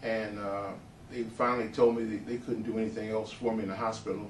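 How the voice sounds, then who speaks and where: Fairly low in pitch and fairly even in intonation, a man's voice carries audible room echo and noticeable background noise. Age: 60s. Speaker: patient giving testimonial. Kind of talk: testimony. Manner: hesitant, many fillers.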